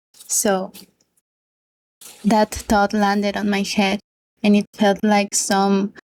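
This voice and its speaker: Speaking at a very slow pace with long, frequent pauses, a woman with a Spanish accent holds a medium pitch in a monotone, flat intonation at very even loudness, recorded in a dry, close sound with no echo. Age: 20s. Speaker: book youtuber. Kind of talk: casual monologue vlog.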